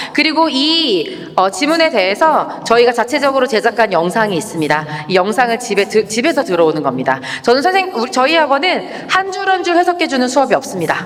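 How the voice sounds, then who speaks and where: A woman's animated, fairly quick delivery at a high pitch, with very wide pitch swings and very even loudness, over noticeable background noise. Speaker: English academy director presenting curriculum. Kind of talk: information session presentation. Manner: very fast.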